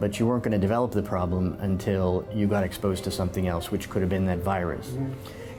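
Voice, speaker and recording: Music plays in the background as a man speaks with fairly low pitch and ordinary pitch variation. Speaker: neurologist. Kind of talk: doctor explaining diagnosis to patient.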